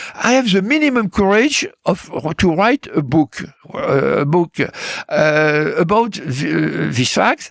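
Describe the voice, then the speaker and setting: In a French accent, a man speaks at a very slow pace, with a dry, close sound with no echo. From France. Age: 80s+. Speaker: political analyst and author. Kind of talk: interview. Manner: halting, many fillers and repetitions.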